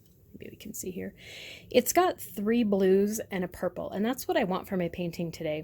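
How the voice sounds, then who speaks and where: Somewhat breathy, this voice has a dark, mellow tone and ordinary pitch variation. It keeps a moderate pace in a very clean recording with a silent background. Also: woman, medium pitch for a woman. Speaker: art teacher. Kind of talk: tutorial. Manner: casual.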